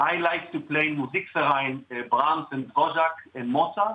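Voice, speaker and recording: At a moderate pace, a man talks with an Israeli accent. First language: Hebrew. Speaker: cellist. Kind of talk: interview.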